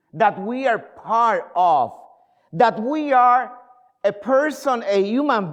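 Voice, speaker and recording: A man's high voice with lively intonation and a fairly slow pace. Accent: Spanish. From Puerto Rico. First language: Spanish. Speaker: pastor. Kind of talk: sermon. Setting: church. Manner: halting.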